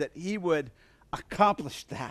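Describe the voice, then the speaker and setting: A man speaks in an animated way, his tone bright and sharp. His intonation is lively. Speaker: preacher. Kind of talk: sermon. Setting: church. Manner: animated, rousing call-and-response preaching; casual, humorous.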